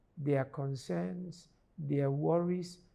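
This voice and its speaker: On a very clean recording with a silent background, a man with a dark, mellow tone speaks at a very slow pace. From Ghana. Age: 70s. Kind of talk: interview explanation.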